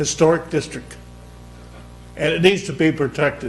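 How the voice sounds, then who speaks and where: Loud and high in pitch, a man speaks at a moderate pace amid audible room echo and noticeable background noise. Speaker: former mayor speaking at public comment. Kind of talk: public comment at council meeting. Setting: council chamber.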